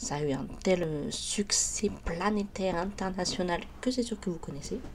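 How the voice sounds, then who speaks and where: Noticeable background noise is audible. A woman talks over it. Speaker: YouTuber. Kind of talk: biography narration, casual. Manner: hesitant, many fillers.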